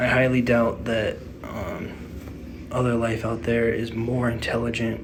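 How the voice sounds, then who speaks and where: A quiet man with an American accent speaks at a fairly slow pace in a monotone, flat delivery. Audible room echo and noticeable background noise fill the recording. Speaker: gaming YouTuber. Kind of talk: casual vlog monologue. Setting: hotel room. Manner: quiet, low energy; halting, many fillers.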